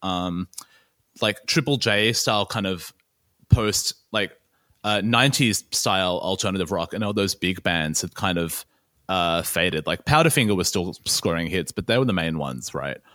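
With an Australian accent, a man speaks at a moderate pace in a very deep, low pitch, with a bright, sharp tone and lively intonation, recorded dry and close with no echo on a very clean, silent background. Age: 30. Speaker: music journalist. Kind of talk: casual chat.

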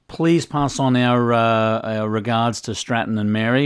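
The audio is very clean, with a silent background. A man's medium-pitched voice carries fairly even intonation. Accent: Australian. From Australia. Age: 50s. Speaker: podcast host, former ice cream shop owner. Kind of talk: interview.

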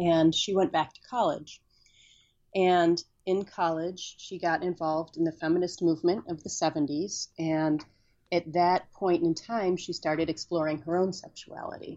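A woman's normal speaking voice at a moderate pace, fairly low in pitch, with fairly even intonation and big swings in loudness. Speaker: author. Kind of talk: casual chat.

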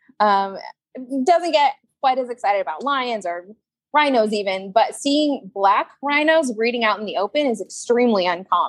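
A woman has an unremarkable speaking voice with a fairly high pitch and lively intonation. She speaks at a moderate pace in a dry, close sound with no echo. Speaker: zookeeper. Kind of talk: casual interview chat.

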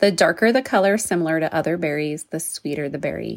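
The speaker has a New Mexico accent and ordinary pitch variation. The recording is very clean, with a silent background. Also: woman. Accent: New Mexican English. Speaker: homesteading podcast host. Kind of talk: informal podcast tutorial.

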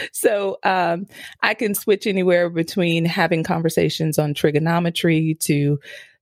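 An ordinary speaking voice: a woman with an American accent and a fairly low pitch. The recording is very clean, with a silent background, and dry and close with no echo. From US East Coast. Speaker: mom coach and podcast host. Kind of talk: interview conversation.

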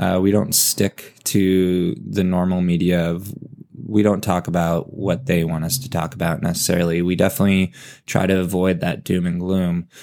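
A man talks with an American accent. His voice is very deep and low, with a dark, mellow tone. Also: ordinary pitch variation, moderate pace. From Southern California (Los Angeles area). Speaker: podcast co-host. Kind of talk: casual chat.

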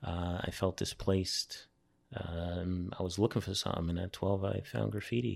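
The speaker has a New York accent and talks at a moderate pace with fairly even intonation. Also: man, very deep, low pitch for a man. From New York City (Brooklyn, Staten Island). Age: 40s. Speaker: graffiti artist. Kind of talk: casual interview. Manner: halting, many repetitions.

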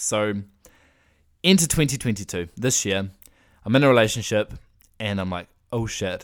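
With a New Zealand accent, a man speaks at a fairly low pitch, leaving long, frequent pauses. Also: ordinary pitch variation, moderate pace, very clean recording, silent background. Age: 20s. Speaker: podcaster. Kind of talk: personal monologue.

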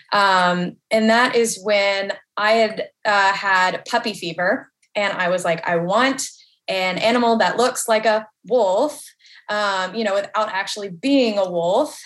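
Speaking very slowly, a woman holds a medium pitch with ordinary pitch variation. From US South, Nashville, Tennessee. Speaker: wolf sanctuary social media coordinator. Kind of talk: interview. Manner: hesitant, many fillers.

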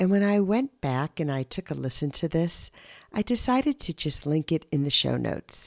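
In a very clean recording with a silent background and a dry, close sound with no echo, a woman speaks with a very deep, low pitch. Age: 60s. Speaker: podcast host. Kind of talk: solo monologue.

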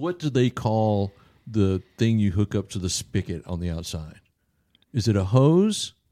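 Over a very clean, silent background, a man speaks at a fairly slow pace with a Southern US accent. His voice is fairly low and dark, mellow in tone, with lively intonation. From US South. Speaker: podcast host discussing the Bible. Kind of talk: casual Bible study chat. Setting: church.

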